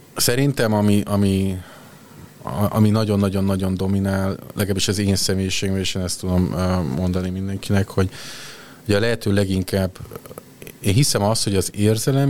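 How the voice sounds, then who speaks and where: A man with a fairly low pitch talks at a moderate pace with fairly even intonation, and noticeable background noise can be heard. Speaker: HR executive. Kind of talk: interview.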